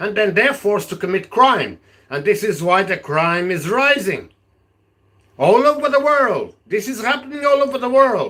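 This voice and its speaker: A raised, projected voice with a bright, sharp tone at a fairly slow pace. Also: man. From Portugal. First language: Portuguese. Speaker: political vlogger. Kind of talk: live stream monologue. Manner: halting; animated.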